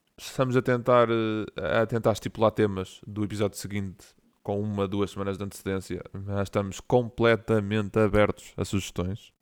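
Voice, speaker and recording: With monotone, flat intonation, a man speaks at a moderate pace and a fairly low pitch in a very clean recording with a silent background. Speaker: podcast co-host. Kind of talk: casual chat.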